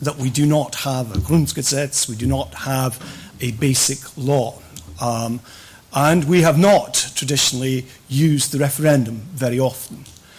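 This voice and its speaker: A man talks at a moderate pace, his medium pitch varying in an ordinary way, while noticeable background noise sits behind him. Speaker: professor. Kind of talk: conference lecture.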